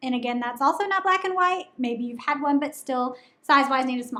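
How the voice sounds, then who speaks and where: A woman projects her voice loudly in a Southern US accent. Her pitch is high and her tone bright and sharp. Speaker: menstrual cup reviewer, channel host. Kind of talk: product review. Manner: casual with many fillers.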